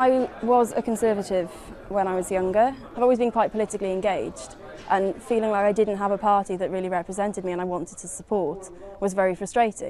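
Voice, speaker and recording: Over noticeable background noise, a woman talks very fast in a South Wales Valleys accent, at a medium pitch with fairly even intonation. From Wales, South Wales Valleys. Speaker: youth party activist. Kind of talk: interview.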